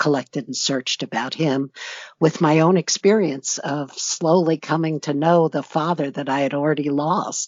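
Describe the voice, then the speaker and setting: A woman with an American accent speaks at a fairly slow pace, her pitch very deep and low and her intonation fairly even. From United States. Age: 60s. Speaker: author and retired judge. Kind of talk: interview.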